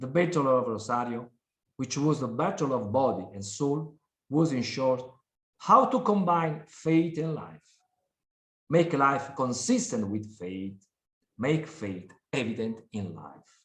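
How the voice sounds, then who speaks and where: With an Italian accent, a man speaks somewhat breathily at a fairly slow pace, leaving long, frequent pauses. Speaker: prosecutor. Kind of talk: conference talk. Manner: formal.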